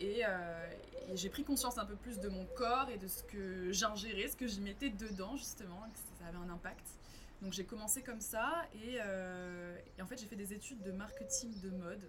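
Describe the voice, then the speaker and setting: At a moderate pace and with ordinary pitch variation, the speaker is heard with audible room echo and noticeable background noise. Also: woman, medium pitch for a woman. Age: 20s. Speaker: environmental nonprofit communications manager. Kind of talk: casual interview. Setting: café.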